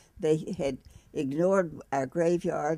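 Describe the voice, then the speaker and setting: A woman's dark, mellow tone at a fairly low pitch. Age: 80s+. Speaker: cancer patient. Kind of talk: interview answer.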